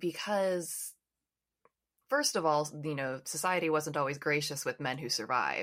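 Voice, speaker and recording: With an American accent, a woman speaks at a very deep, low pitch and moderate pace, her pitch varying in an ordinary way, on a very clean recording with a silent background. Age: 30s. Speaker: podcast host. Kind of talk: interview; podcast outro.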